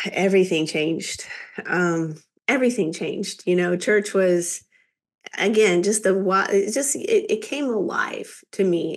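With an American accent, a woman speaks at a moderate pace in a medium pitch, a plain, everyday voice. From Kansas, rural. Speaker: business executive, chamber of commerce president. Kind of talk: interview testimony.

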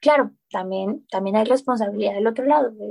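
Dry and close with no echo, a woman's dark, mellow voice at a fairly high pitch moves at a fairly quick pace with ordinary pitch variation. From Colombia. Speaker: recycling app founder. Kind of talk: interview. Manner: frequent hesitations and repetitions.

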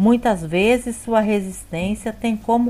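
A woman's fairly high, dark, mellow voice at a very slow pace. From Brazil, Espírito Santo. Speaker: bible study educator. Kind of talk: scripted narration.

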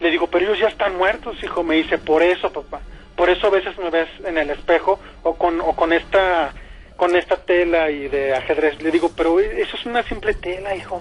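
At a fairly quick pace, a man speaks with a high pitch and fairly even intonation. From Mexico. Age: 30s. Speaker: caller. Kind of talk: personal testimony. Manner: halting.

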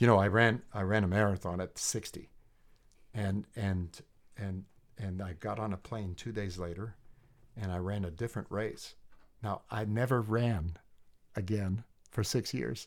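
A man's fairly low voice at a fairly slow pace, with fairly even intonation and long, frequent pauses, on a very clean recording with a silent background. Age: 60s. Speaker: leadership trainer and coach. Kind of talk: casual chat. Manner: halting, many fillers and repetitions.

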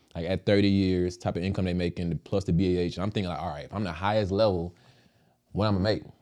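Speech comes at a very fast pace in a dark, mellow tone with monotone, flat intonation and an American accent. The background is quiet. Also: man, very deep, low pitch for a man. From Dallas, Texas. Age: 20s. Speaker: entrepreneur and Navy veteran. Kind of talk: casual chat.

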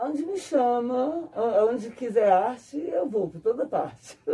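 Her voice is high-pitched with a dark, mellow tone, and this woman's loudness swings widely. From Brasília, Brazil. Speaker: artisan artist (banner maker). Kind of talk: casual interview.

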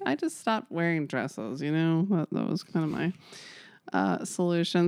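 In an ordinary speaking voice, a woman talks at a moderate pace with a fairly low pitch and lively intonation, the sound dry and close with no echo. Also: quiet background. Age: 40s. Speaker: podcast co-host. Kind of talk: casual chat.

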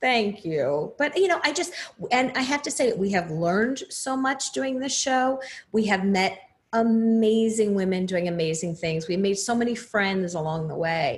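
In an American accent, a woman speaks at a fairly high pitch with very wide pitch swings. Her voice is somewhat breathy, and her pace is moderate. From New Jersey. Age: 50s. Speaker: podcaster and former lawyer. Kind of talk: interview.

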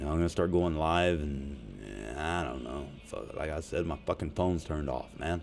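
Speaking at a moderate pace in a Southern US accent, a man uses a very deep, low pitch with ordinary pitch variation and vocal fry. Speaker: podcast host. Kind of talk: casual profane rant. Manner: animated, profane, joking.

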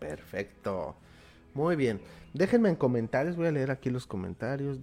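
A man's medium-pitched voice with a Mexican accent, a dark, mellow tone and lively intonation, over a quiet background. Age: 30s. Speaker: motivational speaker and livestream host. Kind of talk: live-streamed morning talk with card reading. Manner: warm, informal.

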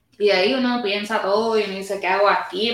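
A woman speaks in a Puerto Rican accent. Her pitch is medium and her pace moderate. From Puerto Rico. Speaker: podcast host. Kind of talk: casual interview. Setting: backstage room at music venue.

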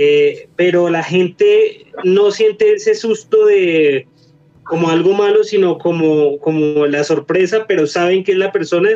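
A man's fairly slow speech at a very even loudness. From Colombia. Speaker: paranormal investigator. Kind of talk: casual chat.

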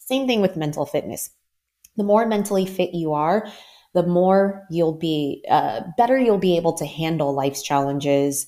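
An unremarkable speaking voice with an American accent comes through on a very clean recording with a silent background. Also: woman, fairly low pitch for a woman, lively intonation, moderate pace. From US Mid-Atlantic, Maryland. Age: 40s. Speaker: life coach. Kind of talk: interview.

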